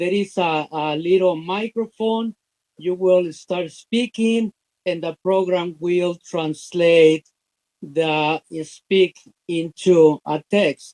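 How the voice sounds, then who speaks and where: A man's high-pitched voice at a very slow pace, ordinary pitch variation, dry and close with no echo. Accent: Spanish. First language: Spanish. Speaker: business opportunity promoter. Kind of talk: interview. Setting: live stream. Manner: halting, many fillers.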